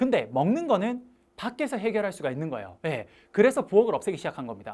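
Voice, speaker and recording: Very fast delivery, on a very clean recording with a silent background. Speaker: online course instructor. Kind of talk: lecture. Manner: animated.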